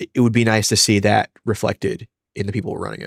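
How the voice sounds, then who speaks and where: A man with a New York accent mumbles at a fairly quick pace and a medium pitch. The recording is very clean with a silent background and a dry, close sound with no echo. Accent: New York area American. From New York, Westchester. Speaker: comics podcast co-host. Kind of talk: casual podcast discussion. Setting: live stream. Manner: mumbling.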